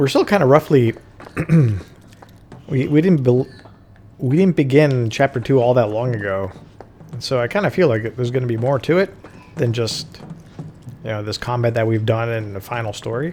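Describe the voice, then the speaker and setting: A man at a medium pitch and moderate pace, lively in intonation, with long, frequent pauses and noticeable background noise. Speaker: video game streamer. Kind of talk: live gameplay commentary. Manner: loud; casual, with fillers.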